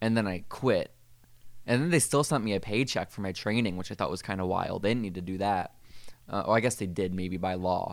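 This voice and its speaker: A man speaks in an ordinary speaking voice, fairly low, with ordinary pitch variation. The recording is very clean, with a silent background. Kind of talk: casual chat with a mock guided meditation bit. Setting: podcast recording.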